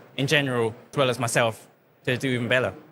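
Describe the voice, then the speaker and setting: In a very clean recording with a silent background, a man with a Chinese accent talks at a fairly quick pace. His medium-pitched voice has a bright, sharp tone and monotone, flat intonation. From China. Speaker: bookkeeper for escape room businesses. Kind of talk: podcast interview. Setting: live at a trade show. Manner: halting, with repeated words.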